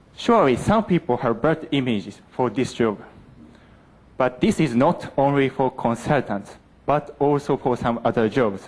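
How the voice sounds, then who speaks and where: In an ordinary speaking voice, a man at medium pitch talks at a moderate pace with lively intonation and very even loudness. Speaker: university student. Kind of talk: presentation contest speech.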